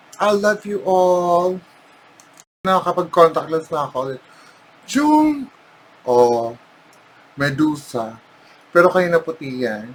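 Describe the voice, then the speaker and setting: A woman with a Filipino accent speaks at a fairly slow pace, her pitch swinging very widely, with long, frequent pauses. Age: 40s. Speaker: makeup vlogger. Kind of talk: casual vlog talk mixing Tagalog and English. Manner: animated.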